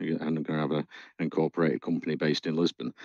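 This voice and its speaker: A man with a Northern English accent, very fast pace and very deep, low pitch, in a dry, close sound with no echo. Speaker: community AMA host. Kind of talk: interview.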